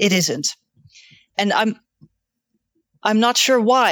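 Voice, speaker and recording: With a Dutch accent, a woman speaks at a fairly slow pace with ordinary pitch variation, the sound dry and close with no echo. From Netherlands. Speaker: volunteer editor. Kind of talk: casual chat.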